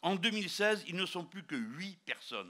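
A man projects a raised voice with a bright, sharp tone at a moderate pace. The background is quiet. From France. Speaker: politician. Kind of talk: political rally speech. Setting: outdoors or hall rally, live crowd. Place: hall. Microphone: handheld.

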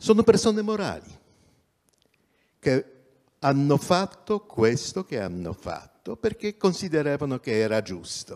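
Pitched fairly high for a man, this speaker swings very widely in pitch and greatly in loudness, leaving long, frequent pauses. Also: fairly slow pace, quiet background. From Poland. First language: Polish (speaking Italian). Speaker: journalist and activist; journalist. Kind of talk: talk at public event. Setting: theatre stage, livestreamed. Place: stage. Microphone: handheld.

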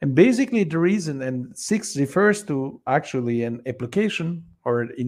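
A man's fairly high pitch and a plain, everyday voice, with lively intonation at a moderate pace against a quiet background. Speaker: researcher presenting a study. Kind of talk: work meeting presentation. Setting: video call. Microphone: video call.

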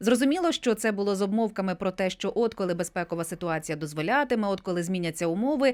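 A woman at medium pitch, very fast and with hardly any pauses, lively intonation, on a very clean recording with a silent background. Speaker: radio host. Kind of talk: radio interview. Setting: studio.

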